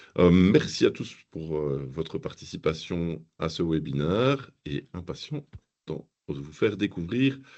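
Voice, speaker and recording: A man speaks at a fairly slow pace with a slight Belgian accent. His very deep, low pitch carries lively intonation. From Belgium. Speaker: software platform founder. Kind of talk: webinar presentation. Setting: video call webinar.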